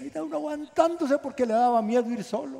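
With a dark, mellow tone, a man speaks at a moderate pace in a high pitch that makes very wide swings. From Guatemala. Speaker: pastor. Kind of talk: sermon. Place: hall. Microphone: headset.

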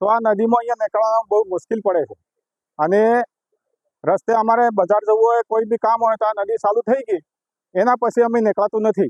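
A man is speaking. His voice sits high in pitch. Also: dry, close sound with no echo. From Gujarat, Aravalli district. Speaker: villager. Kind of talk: street interview.

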